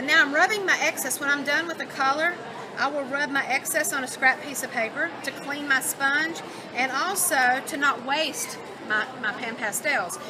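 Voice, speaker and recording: Over crowd noise in the background and audible room echo, a woman uses a raised, projected voice at a high pitch, with ordinary pitch variation and a moderate pace. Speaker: craft product demonstrator. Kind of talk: live product demo. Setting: trade show booth with small audience. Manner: casual, conversational.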